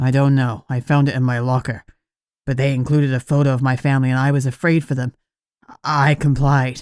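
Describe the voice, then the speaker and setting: This is a put-on character voice with monotone, flat intonation. It moves at a fairly quick pace. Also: man, medium pitch for a man. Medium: read story.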